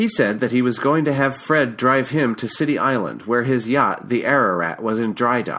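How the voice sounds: Ordinary pitch variation shapes the natural reading voice in this clip.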